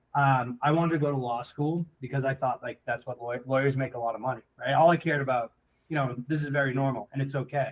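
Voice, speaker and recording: A man's medium-pitched voice at a very fast pace, with an American accent. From central Massachusetts. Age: 30s. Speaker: entrepreneur. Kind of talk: casual interview chat. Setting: live show.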